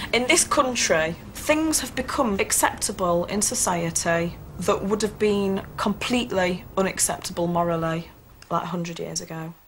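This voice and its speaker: Over noticeable background noise, a woman speaks in a medium pitch with a Yorkshire accent. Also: lively intonation, moderate pace. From England, Sheffield area. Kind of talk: documentary interview.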